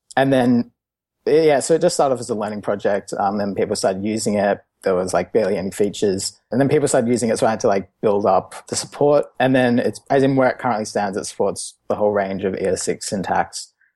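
Against a quiet background, a man with an Australian accent talks at a very fast pace, with medium pitch, ordinary pitch variation and a dark, mellow tone. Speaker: open source developer. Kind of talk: casual chat.

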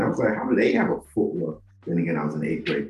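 There's a man talking. Behind him, background noise is noticeable. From Nigeria. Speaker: podcast host. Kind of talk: personal storytelling monologue.

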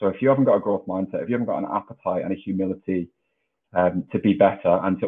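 A man at a very fast pace. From northwest England, Widnes. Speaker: high performance coach, former rugby player. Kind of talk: podcast interview.

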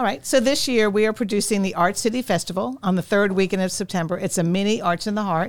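A woman with an American accent talks at a very fast pace with hardly any pauses. Her voice sits at a medium pitch with ordinary variation. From Long Island, New York. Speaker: arts council executive director. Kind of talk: casual interview chat. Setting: studio.

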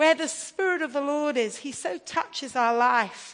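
A woman's high voice with an American accent, at a very slow pace. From England. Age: 50s. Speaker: preacher. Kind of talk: sermon.

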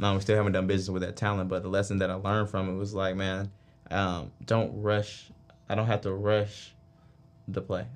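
The speech runs at a fairly quick pace in a monotone, flat intonation. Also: man, fairly low pitch for a man. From Atlanta, Georgia. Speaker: business executive. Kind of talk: casual interview.

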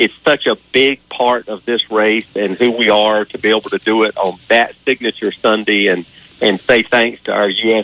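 Speaking in an ordinary speaking voice, a man keeps a medium pitch, fairly even intonation and a moderate pace. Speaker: track spokesperson. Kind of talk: phone interview. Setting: phone call.

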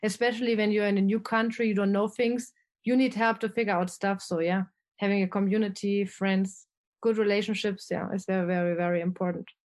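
With a German accent, a woman speaks at a fairly quick pace, keeping her loudness very even. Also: medium pitch for a woman, fairly even intonation, quiet background. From Germany. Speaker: expat travel blogger. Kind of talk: casual interview conversation.

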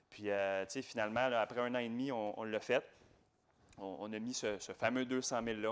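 In a very clean recording with a silent background, a man uses a normal speaking voice, fairly low in pitch, with fairly even intonation at a moderate pace. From Quebec, Laval. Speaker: real estate investor. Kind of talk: interview.

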